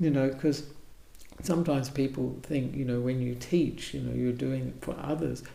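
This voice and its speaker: A voice with an Australian accent comes through audible room echo and noticeable background noise. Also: man, moderate pace. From Australia, Perth. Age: 70s. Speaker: Buddhist monk, abbot. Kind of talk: interview. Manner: halting.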